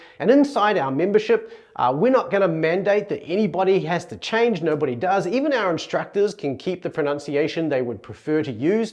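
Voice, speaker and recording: A man's high-pitched voice in a New Zealand accent, with very wide pitch swings, a fairly quick pace and hardly any pauses. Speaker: Greek language teacher. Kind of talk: educational talk.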